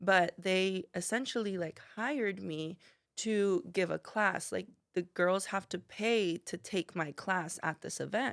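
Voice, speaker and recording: Fairly slow speech from a woman at a medium pitch, with ordinary pitch variation. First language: not English. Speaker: salon owner and cosmetologist. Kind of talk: podcast interview. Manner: animated.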